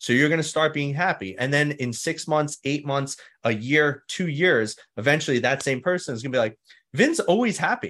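A man speaks at a fairly quick pace with a New York accent. His pitch is fairly high, and the background is quiet. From New York City (Staten Island). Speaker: mindset coach, former firefighter. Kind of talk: interview.

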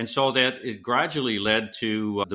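A man speaks in a bright, sharp tone with a Canadian accent. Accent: Canadian lilt. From western Canada, British Columbia. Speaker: author and former business executive. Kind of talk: interview. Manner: energetic.

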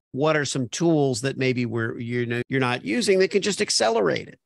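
A man's normal speaking voice, medium in pitch with lively intonation, at a moderate pace, in a dry, close sound with no echo and a quiet background. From Miami Beach, Florida. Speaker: podcast host, copywriter. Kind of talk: casual interview chat.

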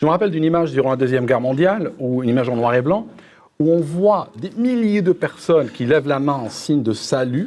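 With an ordinary speaking voice, a man talks at a fairly quick pace in a fairly high pitch with lively intonation. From Algeria. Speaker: political youtuber. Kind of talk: panel debate.

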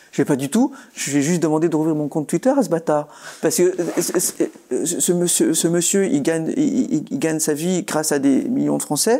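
With very wide pitch swings, a man speaks at a high pitch and moderate pace over noticeable background noise. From France, rural Haute-Marne. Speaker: politician. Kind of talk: interview. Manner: halting, many repetitions.

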